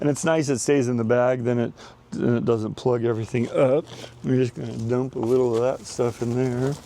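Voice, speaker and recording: Fairly quick in pace, a man talks in an ordinary speaking voice. His pitch is medium and his intonation fairly even. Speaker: gardening channel host. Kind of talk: tutorial. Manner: casual, filler-heavy.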